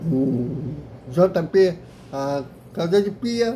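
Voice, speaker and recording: This man's voice has a dark, mellow tone. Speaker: YouTube football club commentator. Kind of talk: casual video commentary. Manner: halting with repetitions.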